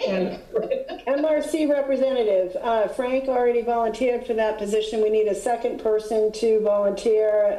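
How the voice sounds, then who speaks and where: A woman speaks with fairly even intonation. Noticeable background noise and audible room echo are present. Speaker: HOA board president chairing meeting. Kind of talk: board meeting.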